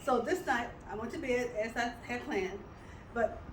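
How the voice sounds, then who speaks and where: A woman's high-pitched voice, with ordinary pitch variation, carries audible room echo and noticeable background noise. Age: 70s. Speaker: health product presenter. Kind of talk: testimony. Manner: halting.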